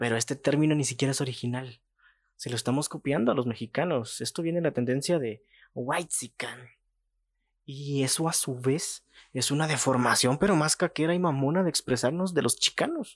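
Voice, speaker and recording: Recorded very cleanly against a silent background with a dry, close sound and no echo, a man with a plain, everyday voice speaks at a moderate pace, with a fairly high pitch and ordinary pitch variation. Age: 20s. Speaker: podcast host. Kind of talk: opinion monologue.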